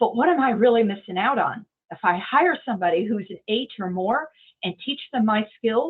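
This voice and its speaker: In a normal speaking voice with an American accent, a woman of fairly high pitch talks at a moderate pace, using lively intonation and big swings in loudness. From United States, Indiana. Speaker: entrepreneur, marketing director. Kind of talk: interview answer.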